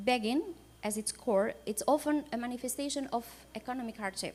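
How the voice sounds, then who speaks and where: In an Albanian accent, a woman speaks at a high pitch. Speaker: supreme court judge. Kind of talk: conference panel talk. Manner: halting.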